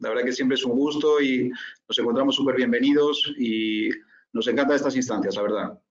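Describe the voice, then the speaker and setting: In a room with audible echo, a man with a Spanish accent speaks fairly quickly at a medium pitch, his intonation fairly even. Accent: Spanish (Spain). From Spain. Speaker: corporate finance consultant, presenter. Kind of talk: webinar presentation. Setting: online webinar.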